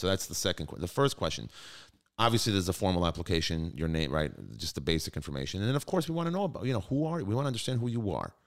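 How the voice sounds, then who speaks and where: In a New York accent, a man with a very deep, low pitch talks at a very fast pace in an animated tone, his pitch swinging very widely on a very clean recording with a silent background. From New York (Brooklyn). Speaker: high school chief executive. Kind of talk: interview.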